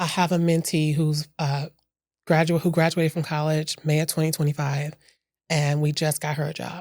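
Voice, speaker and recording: A woman speaks at a moderate pace in a very deep, low, flat monotone. The recording is very clean, with a silent background. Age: 40s. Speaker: nonprofit leader and mentor. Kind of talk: interview conversation.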